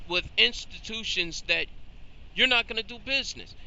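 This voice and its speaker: A man's high, animated voice with very wide pitch swings over noticeable background noise. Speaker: credit advice YouTuber. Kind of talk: casual monologue. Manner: fast.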